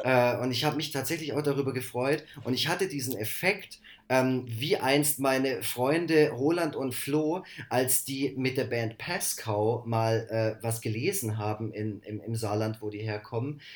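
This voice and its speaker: Over a silent background in a very clean recording, a man at medium pitch talks at a fairly slow pace with ordinary pitch variation. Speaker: podcast co-host. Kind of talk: casual chat.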